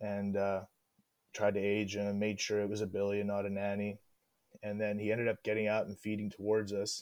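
At a moderate pace, a man with a Western Canadian accent talks in a fairly low pitch on a very clean recording with a silent background. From Northwest British Columbia. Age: 30s. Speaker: hunter and drill mechanic. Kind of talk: casual chat.

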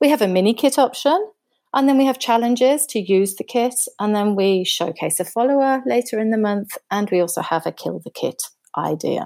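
A woman with a British accent, dark and mellow in tone, lively in intonation, at a fairly quick pace. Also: fairly high pitch for a woman. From Britain. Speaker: scrapbooker. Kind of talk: casual chat.

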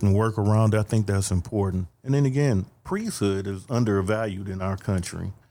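A man with an American accent, fairly low pitch and a dark, mellow tone at a fairly quick pace. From Detroit. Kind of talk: casual interview.

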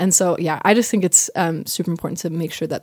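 A woman's fairly low voice, an unremarkable speaking voice, with ordinary pitch variation and a dry, close sound with no echo. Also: very clean recording, silent background. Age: 20s. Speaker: professional performer. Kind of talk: casual chat.

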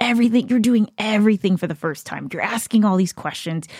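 A woman with an unremarkable speaking voice, medium pitch and ordinary pitch variation, on a very clean recording with a silent background and a dry, close sound with no echo. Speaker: host's wife. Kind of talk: casual chat.

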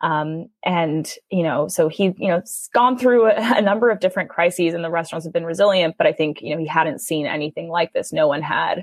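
With an American accent and a normal speaking voice, the speaker moves at a fairly quick pace with hardly any pauses and ordinary pitch variation. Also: woman, fairly low pitch for a woman. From New York City. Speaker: college student and food charity co-founder. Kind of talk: interview.

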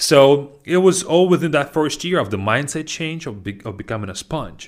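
A man with a Russian accent speaks at a moderate pace, his pitch swinging very widely. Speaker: language teacher and podcast host. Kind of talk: casual educational monologue.

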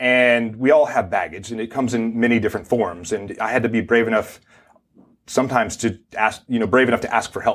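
A man's normal speaking voice at medium pitch, with fairly even intonation and a fairly quick pace. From US South, Mississippi. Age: 50s. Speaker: Navy SEAL veteran and speaker. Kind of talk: TV interview.

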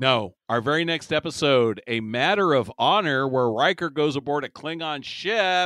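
Here is an unremarkable speaking voice: a man, fairly high-pitched, with lively intonation, at a moderate pace and with hardly any pauses. The sound is dry and close with no echo, and the background is quiet. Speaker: podcast host. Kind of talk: casual comedic chat about TV episode. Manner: joking, banter, interrupts.

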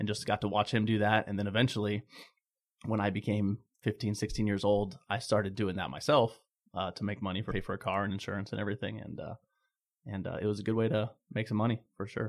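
In a very clean recording with a silent background, a man with an American accent speaks very fast at a fairly low pitch with fairly even intonation. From Phoenix, Arizona. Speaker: pool equipment sales rep. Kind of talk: casual interview.

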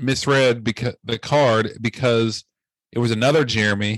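Over a quiet background, a man with a normal speaking voice talks at a fairly slow pace with medium pitch and ordinary pitch variation. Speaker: podcast host. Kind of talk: casual chat. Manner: casual, filler words.

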